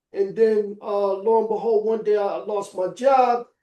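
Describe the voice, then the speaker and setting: Pitched high, this man's voice has a dark, mellow tone. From New York City. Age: 60s. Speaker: former convicted gun seller telling his story. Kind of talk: personal testimony in podcast interview. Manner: halting, many fillers.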